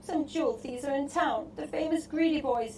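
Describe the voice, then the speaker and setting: Using a put-on character voice, a woman speaks at a high pitch and moderate pace with ordinary pitch variation. Background noise is clearly audible. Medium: read story.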